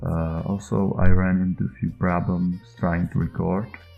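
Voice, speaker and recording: A man speaks at a fairly slow pace with a very deep, low pitch. His intonation is fairly even, and music plays in the background. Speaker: indie game developer. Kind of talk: devlog narration over screen footage. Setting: low-quality home microphone. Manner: hesitant, many filler sounds.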